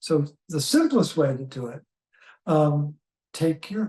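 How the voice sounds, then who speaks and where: A somewhat breathy man's voice, fairly high in pitch, has a dark, mellow tone. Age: 70s. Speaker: health educator. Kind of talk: interview. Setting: in person recording.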